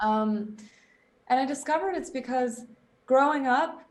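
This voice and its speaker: A moderate tempo and lively intonation, with room echo clearly audible. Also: woman. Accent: American. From US West Coast (Silicon Valley, Bay Area). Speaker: performance coach. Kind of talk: casual interview.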